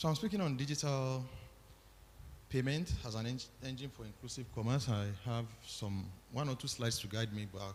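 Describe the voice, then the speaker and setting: A man talks at a fairly quick pace in a somewhat breathy, medium-pitched voice with ordinary pitch variation. His loudness swings widely, and he takes long, frequent pauses. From Nigeria. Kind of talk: formal conference talk.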